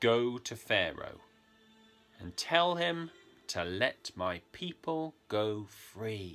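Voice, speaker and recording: Using a put-on character voice, a man booms at medium pitch with very wide pitch swings. He goes at a very slow pace while faint music plays in the background. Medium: read story. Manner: solemn, authoritative.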